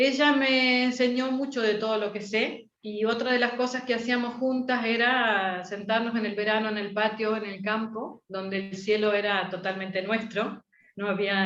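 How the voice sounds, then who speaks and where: Fairly high in pitch, a woman uses an ordinary speaking voice. She keeps a moderate pace and fairly even intonation. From Argentina. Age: 60s. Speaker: astrologer. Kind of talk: interview.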